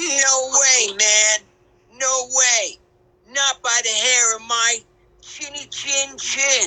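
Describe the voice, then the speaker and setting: A put-on character voice, pitched fairly high, moves at a very slow pace. Long pauses come often. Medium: read story. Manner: laid-back, slangy.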